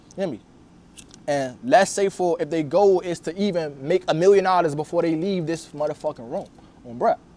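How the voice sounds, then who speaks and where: A man's high-pitched voice with a dark, mellow tone at a fairly quick pace. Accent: Washington DC. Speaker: video interviewer and content creator. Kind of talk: casual interview storytelling. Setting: filmed interview.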